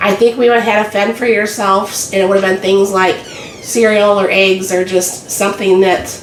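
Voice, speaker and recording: Speaking at a fairly quick pace, a woman with a medium pitch keeps a monotone, flat intonation over noticeable background noise. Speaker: home cook video host. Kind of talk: casual cooking talk to camera.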